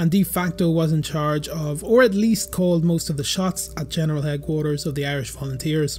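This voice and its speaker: Amid noticeable background noise, a man talks at a fairly quick pace and a fairly high pitch, with ordinary pitch variation. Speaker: history YouTuber. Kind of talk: documentary narration.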